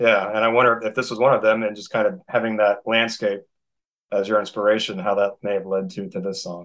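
A man's plain, everyday voice, fairly low in pitch, with ordinary pitch variation at a fairly quick pace. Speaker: podcast host interviewer. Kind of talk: casual interview.

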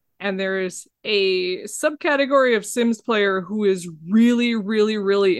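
A woman with a plain, everyday voice speaks at a fairly slow pace in a medium pitch, with ordinary pitch variation. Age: 40s. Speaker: video game developer. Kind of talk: casual chat.

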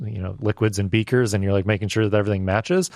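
Recorded dry and close with no echo over a quiet background, a man speaks at a fairly low pitch. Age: 30s. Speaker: video producer and filmmaker. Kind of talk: casual chat.

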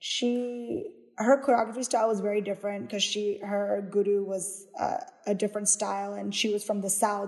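Speaking in a normal speaking voice, a woman has a medium pitch and an American accent. Her moderate pace and fairly even intonation come through against a quiet background. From US, Houston, Texas (Kerala Indian family). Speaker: dance company director and choreographer.

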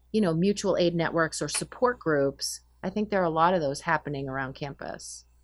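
In an American accent, a woman with a fairly low pitch talks in an unremarkable speaking voice. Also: quiet background. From Massachusetts, north of Boston. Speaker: professor. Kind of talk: interview. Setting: video call.

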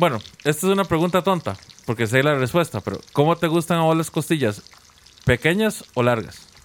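Noticeable background noise sits behind the recording. A man talks at a fairly high pitch with lively intonation. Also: fairly quick pace. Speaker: podcast host. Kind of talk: casual chat.

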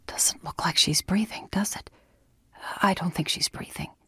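A woman whispering in a put-on character voice with a husky, rough edge, at a moderate pace

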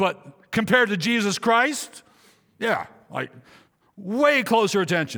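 Raised and projected, a man's high, bright, sharp voice carries an animated tone and lively intonation, broken by long, frequent pauses. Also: fairly slow pace. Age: 60s. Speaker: pastor. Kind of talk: sermon. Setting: church.

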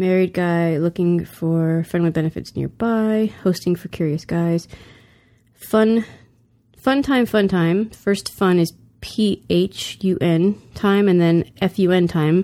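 Her tone is dark and mellow, with a fairly low pitch and ordinary pitch variation. The woman speaks at a very slow pace. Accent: American. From US South. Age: 40s. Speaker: guest. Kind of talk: casual chat.

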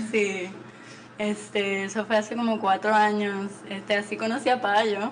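A woman speaks at a fairly slow pace with monotone, flat intonation. Noticeable background noise sits behind her. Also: medium pitch for a woman. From Puerto Rico. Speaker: vintage shop owner. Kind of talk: interview.

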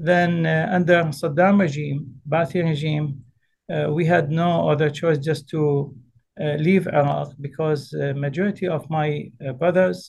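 A man with an ordinary speaking voice talks at a fairly slow pace, his fairly high pitch held in fairly even intonation. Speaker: Islamic scholar, representative of a grand ayatollah. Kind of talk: interview.

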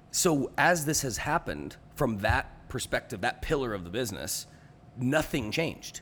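Vocal fry and very wide pitch swings in a man's medium-pitched speech at a moderate pace. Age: 30s. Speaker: world traveler, podcast guest. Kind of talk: casual chat.

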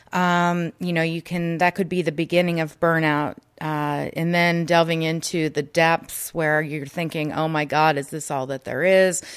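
A woman's fairly low voice, flat and monotone, at a moderate pace with a quiet background. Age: young. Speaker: wellness and burnout coach. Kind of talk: casual interview. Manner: hesitant with fillers.

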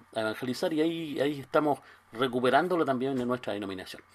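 A man speaks at a medium pitch in a normal speaking voice, recorded very cleanly with a silent background. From Chile, Concepción. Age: 60s. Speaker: pastor. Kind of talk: interview.

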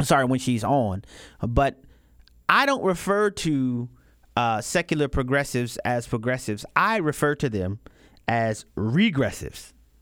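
In an American accent, a man with an unremarkable speaking voice at medium pitch talks at a fairly slow pace with lively intonation, on a very clean recording with a silent background. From US South, New Orleans, Louisiana. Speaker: fill-in radio host. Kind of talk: talk radio commentary.

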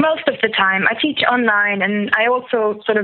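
A medium-pitched woman's voice with a German accent. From Germany. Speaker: caller, online language tutor. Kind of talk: casual chat. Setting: phone call.

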